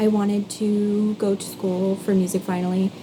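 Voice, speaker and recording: Noticeable background noise sits behind this woman's voice. Her intonation is monotone and flat. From Canada, East Coast. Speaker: singer and content creator. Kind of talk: casual vlog monologue.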